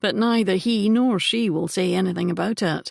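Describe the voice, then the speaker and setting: A put-on character voice in a Scottish accent moves at a moderate pace. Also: quiet background. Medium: read story. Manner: blunt, warm.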